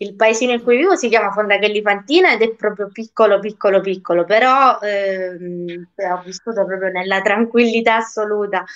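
Over a quiet background, a woman speaks at a moderate pace with fairly even intonation and hardly any pauses. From Sicily, province of Messina; Sicily. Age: 20s. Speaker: singer; interviewee. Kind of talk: interview. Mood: friendly, a little shy. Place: home room. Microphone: video call.

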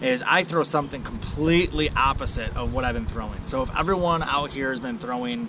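A man talks at a medium pitch and a fairly quick pace, with lively intonation. Background noise is clearly audible.

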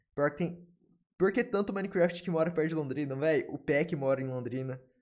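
The background stays quiet. This man's delivery is fairly quick, and his pitch moves in an ordinary way. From Brazil. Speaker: gaming streamer. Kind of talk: casual chat. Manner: fast; animated. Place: home room. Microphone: studio mic.

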